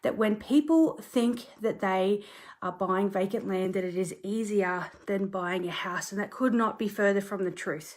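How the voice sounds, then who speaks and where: Speaking with an Australian accent, a woman uses a medium pitch, a moderate pace and ordinary pitch variation. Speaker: property conveyancer. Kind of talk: social media live talk. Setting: bedroom at home, filmed on tripod. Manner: casual, chatty.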